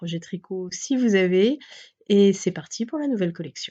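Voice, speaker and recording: Fairly slow speech from a woman at medium pitch with a dark, mellow tone against a quiet background. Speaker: yarn shop owner presenting new stock. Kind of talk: casual product presentation video. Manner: hesitant, many filler sounds.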